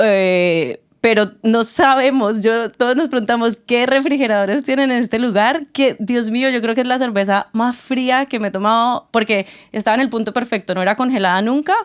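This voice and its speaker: A woman with a plain, everyday voice talks at a fairly high pitch and moderate pace, with ordinary pitch variation. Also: hardly any pauses. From Colombia, Tuluá. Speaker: podcast co-host. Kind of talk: casual chat.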